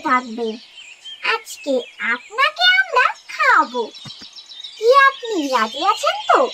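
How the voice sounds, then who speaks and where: A woman performs a cartoonish character voice at a fairly slow pace, her pitch swinging very widely. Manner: warm, protective.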